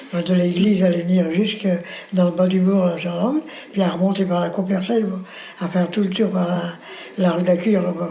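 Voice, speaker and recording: The man speaks at a fairly quick pace but with long, frequent pauses, his high pitch held in fairly even intonation. Audible room echo and noticeable background noise surround him. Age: 80s+. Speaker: retired factory worker, war veteran. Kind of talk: oral history interview. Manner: casual, halting with many fillers.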